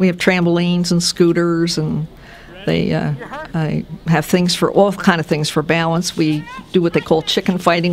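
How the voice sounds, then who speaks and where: Over noticeable background noise, a woman with a fairly low pitch talks at a moderate pace in a flat, monotone delivery. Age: 70s. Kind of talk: interview answer.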